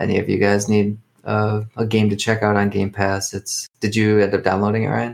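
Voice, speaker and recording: The man talks at a moderate pace. His fairly low pitch stays in a monotone, flat intonation. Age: 30s. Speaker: podcast co-host. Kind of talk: casual chat.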